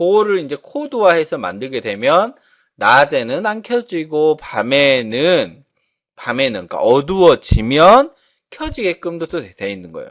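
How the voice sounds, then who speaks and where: Against a quiet background, a man with a fairly high voice speaks at a fairly slow pace with very wide pitch swings. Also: big swings in loudness. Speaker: instructor. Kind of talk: lecture.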